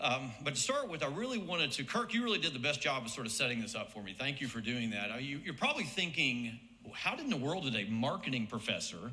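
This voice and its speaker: Speaking very fast with hardly any pauses, a man with an American accent uses lively intonation at a medium pitch. Audible room echo and noticeable background noise surround him. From US South, Birmingham, Alabama. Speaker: marketing professor and former soccer coach. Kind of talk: hall of fame induction speech. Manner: conversational, with frequent fillers and repetitions.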